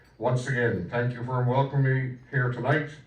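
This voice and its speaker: A man speaking at a moderate pace amid audible room echo. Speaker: member of parliament. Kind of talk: formal speech at commemoration.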